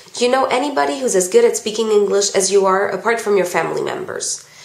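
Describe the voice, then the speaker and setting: A woman with an American accent speaks with very wide pitch swings. Audible room echo and noticeable background noise surround her voice. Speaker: vlogger. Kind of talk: Q&A vlog. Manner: casual, hesitant with ums.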